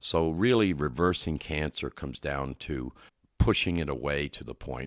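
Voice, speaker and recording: The voice carries vocal fry and ordinary pitch variation at a fairly slow pace. The sound is dry and close with no echo, on a very clean recording with a silent background. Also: man. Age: 70s. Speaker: nutrition expert. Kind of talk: interview.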